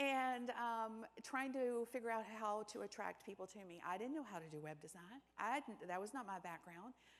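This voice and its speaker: Her tone is animated and her intonation lively. The woman's pitch is fairly high and her pace fairly quick. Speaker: keynote speaker on business and AI. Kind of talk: conference talk. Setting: stage with audience. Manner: fast.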